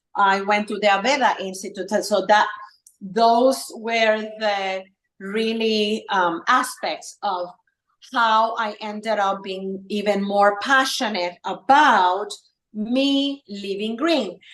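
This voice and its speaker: A very slow delivery with a slight Puerto Rican accent and ordinary pitch variation. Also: woman, fairly high pitch for a woman. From Puerto Rico. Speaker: wellness entrepreneur and esthetician. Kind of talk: casual interview chat. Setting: live stream video call. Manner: halting, many fillers.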